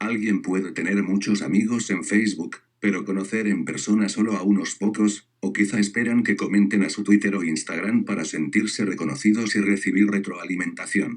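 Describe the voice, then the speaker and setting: This man has a normal speaking voice, fairly low in pitch, with fairly even intonation, a moderate pace and hardly any pauses. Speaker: education student. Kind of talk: scripted narration.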